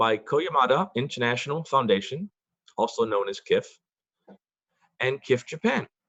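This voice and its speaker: In an American accent, a man talks at a moderate pace with lively intonation. Long, frequent pauses break up his speech. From US Northeast, Boston, Massachusetts. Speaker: event organizer, board member. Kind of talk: formal forum introduction. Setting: video call.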